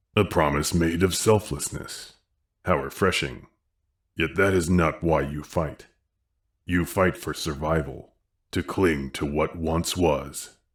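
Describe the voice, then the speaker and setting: A man puts on a character voice with a very deep, low pitch. He speaks at a fairly slow pace with long, frequent pauses. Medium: read story. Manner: calm, knowing, unhurried.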